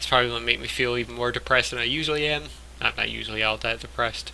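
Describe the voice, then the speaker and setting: Very fast speech over noticeable background noise. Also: man. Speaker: podcast host. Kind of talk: casual gaming news podcast talk.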